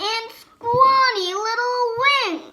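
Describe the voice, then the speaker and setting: A woman does a squeaky, put-on character voice at an extremely high pitch. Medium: read story. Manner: gloating.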